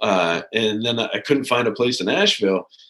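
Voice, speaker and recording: A man with an American accent talks at a fairly quick pace in a normal speaking voice. His pitch is medium, with ordinary pitch variation. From US, military family (Maine, Colorado, North Carolina, Germany). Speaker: float center owner, army veteran. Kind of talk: interview. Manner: casual, relaxed.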